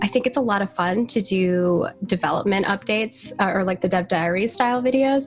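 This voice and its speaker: Somewhat breathy, a woman speaks at a fairly quick pace with a medium pitch and ordinary pitch variation. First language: not English. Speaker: community marketing lead at a game studio. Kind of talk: casual podcast interview. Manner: chatty, fast, many fillers and restarts.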